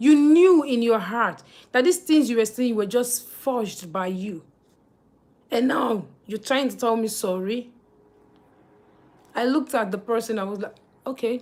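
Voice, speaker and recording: A woman with a Nigerian accent speaks at a fairly slow pace and a fairly high pitch, with lively intonation and long, frequent pauses. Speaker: livestreamer. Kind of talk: live stream chat. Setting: live stream.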